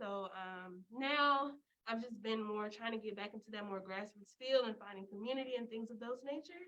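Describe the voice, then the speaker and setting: A woman's fairly high voice with an American accent, bright and sharp in tone, with ordinary pitch variation at a moderate pace. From US South, Memphis, Tennessee. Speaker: student. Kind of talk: casual chat.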